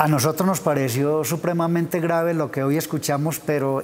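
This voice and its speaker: This man's voice sits fairly high, with fairly even intonation. He talks at a moderate pace. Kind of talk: TV interview. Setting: TV studio. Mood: serious, concerned. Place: studio. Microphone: lapel.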